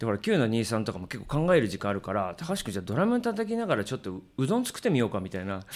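This man speaks very fast. Pauses are barely there. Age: 50s. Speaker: drummer and live venue booker. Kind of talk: casual chat.

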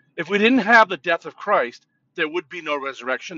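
Speaking at a moderate pace, a man with an American accent uses very wide pitch swings. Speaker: pastor. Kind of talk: informal sermon talk with prayer. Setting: in a car. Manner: loud, jovial, talkative.

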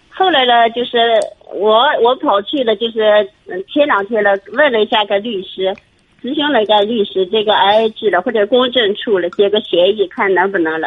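Delivered at a moderate pace, it is an ordinary speaking voice whose pitch varies in an ordinary way. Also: woman, fairly high pitch for a woman. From Shanxi. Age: 50s. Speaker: primary school teacher, caller. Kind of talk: phone-in advice call. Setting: phone call.

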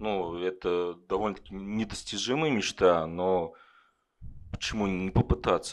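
A man speaks in a normal speaking voice with a fairly low pitch. His pace is fairly slow, and the background is quiet. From Kovrov, Russia. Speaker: IT worker, audience member. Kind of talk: interview on stage. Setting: bar stage with live audience.

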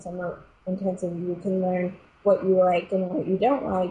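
A somewhat breathy woman's voice, medium pitch, moderate pace. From New York City (Queens). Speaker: ballet dancer. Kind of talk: interview.

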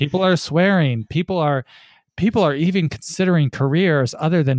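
A man speaks at a moderate pace on a very clean recording with a silent background, the sound dry and close with no echo. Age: 30s. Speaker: writer and former religious movement member. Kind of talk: interview testimony. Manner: halting.

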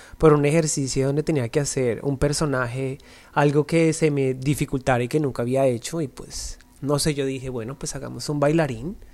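In a very clean recording with a silent background, a man with a fairly high voice talks at a moderate pace with fairly even intonation in an ordinary speaking voice. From Colombia, Bogotá. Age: 30s. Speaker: dancer and dance agency owner. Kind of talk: interview.

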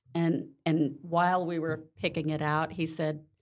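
With an American accent, a woman speaks at a fairly slow pace and a fairly low pitch. It is an ordinary speaking voice. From Mississippi, US South. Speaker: real estate agent. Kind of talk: casual interview.

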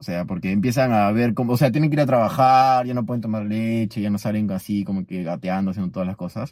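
Hardly pausing, a man talks at a very fast pace in a fairly low pitch with ordinary pitch variation, in a very clean recording with a silent background. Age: 20s. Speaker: podcast host. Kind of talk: casual chat. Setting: recorded at night at a beach house.

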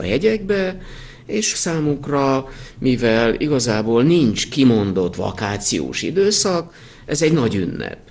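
Noticeable background noise surrounds this recording of a man. His fairly high pitch swings very widely. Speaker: winemaker. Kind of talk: interview.

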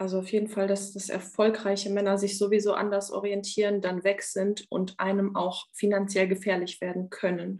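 Flat and monotone in intonation, this woman talks at a medium pitch. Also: moderate pace, hardly any pauses. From Romania, raised in Germany from age 7. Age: 30s. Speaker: coaching client, bank clerk. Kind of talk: coaching session.

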